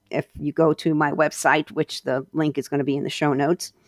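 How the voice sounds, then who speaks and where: Against a quiet background, a woman's very deep, low voice carries vocal fry in dry, close sound with no echo. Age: 50s. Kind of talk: Bible teaching monologue with scripture reading. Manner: halting, with many fillers.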